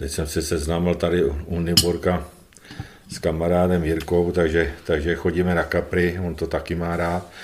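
The speaker's intonation is monotone and flat. The pace is moderate. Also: man, very deep, low pitch for a man. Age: 60s. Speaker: retired footballer. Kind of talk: interview. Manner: halting, repetitive.

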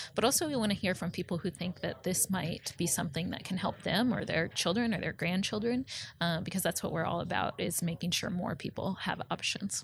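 A woman with a medium pitch and an American accent speaks at a fairly quick pace, somewhat breathy, with ordinary pitch variation and hardly any pauses. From Nebraska, Omaha. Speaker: advocacy communications director. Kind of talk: interview.

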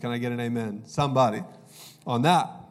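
With audible room echo, a man talks at a very fast pace in an animated tone with ordinary pitch variation. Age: 30s. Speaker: pastor. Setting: church stage with live congregation. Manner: relaxed storytelling with self-deprecating laughs and filler words; animated and conversational, building emphasis and repeating key lines.

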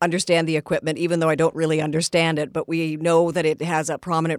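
A woman speaks with a Canadian accent at a fairly low pitch. The sound is dry and close, with no echo. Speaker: radio host. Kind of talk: radio interview. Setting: studio.

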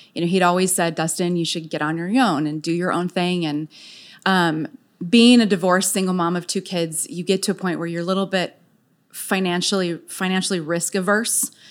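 Here is a normal speaking voice from a woman at a medium pitch. She goes at a fairly quick pace on a very clean recording with a silent background. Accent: American. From San Diego, California. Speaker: HR business owner. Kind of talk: interview.

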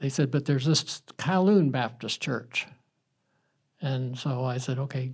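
A somewhat breathy man with an American accent speaks with fairly even intonation. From US South, South Carolina. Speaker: churchgoer. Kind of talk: testimony.

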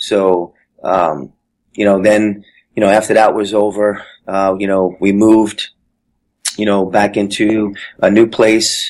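In monotone, flat intonation, a man speaks at a fairly slow pace with long, frequent pauses. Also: fairly low pitch for a man. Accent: American. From New Jersey (Jersey City). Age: 40s. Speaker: Marine veteran. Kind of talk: personal testimony interview.

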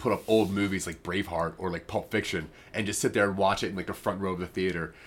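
A man speaks with a very deep, low pitch in an American accent. The recording is very clean, with a silent background. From US, northeast Maryland. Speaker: podcast host. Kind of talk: casual chat.

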